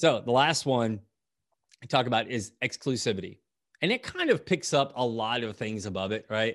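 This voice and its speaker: Using ordinary pitch variation, a man speaks at a moderate pace with a medium pitch. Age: 50s. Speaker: podcast host, author and marketing coach. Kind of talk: solo podcast talk on marketing tips. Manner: hesitant with many fillers and repetitions.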